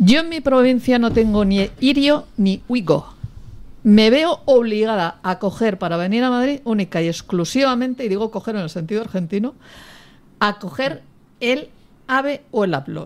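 With lively intonation, this woman keeps to a moderate pace. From Catalonia. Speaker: politician. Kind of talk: panel debate. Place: studio.

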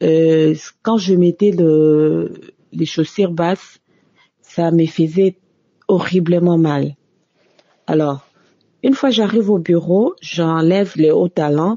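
A woman speaks very slowly, with long, frequent pauses. Her pitch is fairly low with ordinary variation, and her loudness stays very even. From DR Congo. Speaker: office worker giving testimony. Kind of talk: recorded testimony.

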